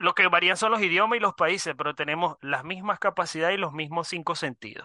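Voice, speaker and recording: In a high, bright and sharp voice, a man speaks at a moderate pace. The sound is dry and close with no echo, against a quiet background. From Venezuela. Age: 30s. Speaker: online business student. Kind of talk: interview.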